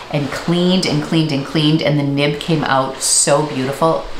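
A woman with a very deep, low pitch talks with fairly even intonation, with audible room echo and light background noise. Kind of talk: casual vlog chat. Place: home room.

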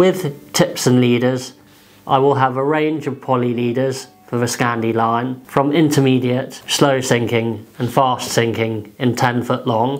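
The delivery is fairly slow, and the intonation stays fairly even. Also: man. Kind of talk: tutorial. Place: home room.

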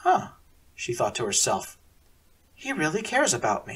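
Male voice at a moderate pace over noticeable background noise. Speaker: narrator of own serialized story. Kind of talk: read story narration.

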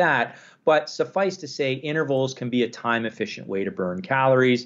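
Speaking with a Canadian accent, a man uses an ordinary speaking voice at medium pitch. His pace is fairly quick. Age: 40s. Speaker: exercise science professor and researcher. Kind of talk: interview. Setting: phone call.

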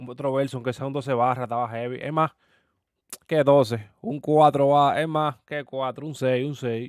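A man talks at a moderate pace. His pitch is medium and his intonation fairly even.

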